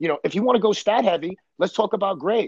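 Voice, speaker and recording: This man talks fairly quickly in a New York accent. His pitch is high. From Brooklyn, New York. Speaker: baseball coach. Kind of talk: casual chat.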